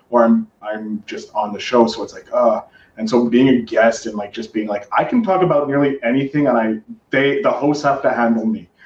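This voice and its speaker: A plain, everyday voice from a man with a Canadian accent, moderate pace and ordinary pitch variation. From Canada. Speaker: podcast host. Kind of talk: casual chat. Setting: video call.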